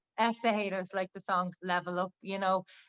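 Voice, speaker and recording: Speaking with a Dublin accent, a woman keeps a medium pitch and fairly even intonation at a fairly quick pace, in a dry, close sound with no echo. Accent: Dublin Irish. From Ireland, Dublin. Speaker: rapper. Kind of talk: interview.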